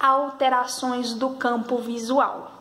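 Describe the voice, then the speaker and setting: Flat and monotone in intonation, a woman's voice sits at a high pitch. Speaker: health sciences student or educator. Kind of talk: tutorial.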